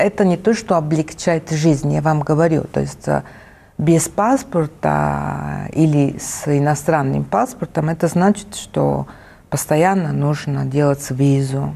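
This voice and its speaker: A woman in an Italian accent at a very slow pace, noticeable background noise. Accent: Italian accent in Russian. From Italy. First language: Italian (speaking Russian). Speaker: arts foundation director. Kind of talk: interview. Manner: halting.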